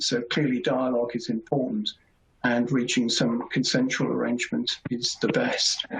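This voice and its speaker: The pace here is moderate. A British accent is heard. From Britain. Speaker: competition lawyer. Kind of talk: webinar presentation. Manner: formal.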